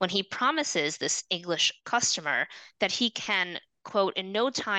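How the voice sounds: In a natural reading voice with lively intonation, the speaker reads over a quiet background.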